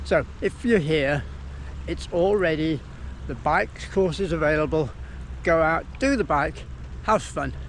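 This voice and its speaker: A man's voice with noticeable background noise. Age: 60s. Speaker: amateur triathlete. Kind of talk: casual talk to camera. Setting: outdoors.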